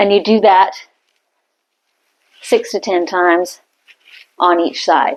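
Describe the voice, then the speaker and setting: With ordinary pitch variation, the woman talks at a medium pitch. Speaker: fitness instructor. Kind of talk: workout tutorial.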